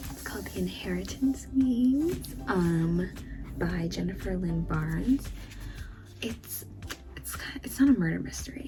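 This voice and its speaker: Someone whispers quietly at a fairly slow pace, with long, frequent pauses. Music plays in the background. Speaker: booktuber. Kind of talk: casual book haul vlog. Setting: home recording late at night. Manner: quiet, near-whisper; hesitant, filler words.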